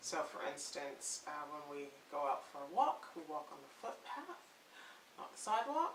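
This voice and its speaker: The speech moves at a fairly slow pace, with big swings in loudness. Noticeable background noise runs underneath. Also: woman. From Canada. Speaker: parenting blogger. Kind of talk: casual talk to camera.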